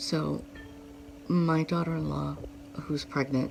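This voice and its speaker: A woman talks over noticeable background noise. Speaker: vlogger. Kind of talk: personal vlog. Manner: halting.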